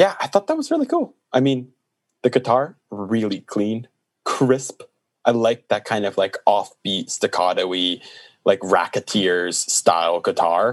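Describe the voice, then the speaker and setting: A man's voice in a quiet background, dry and close with no echo. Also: fairly slow pace. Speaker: podcast host and music reviewer. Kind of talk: casual chat, music review podcast. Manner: animated, playful banter.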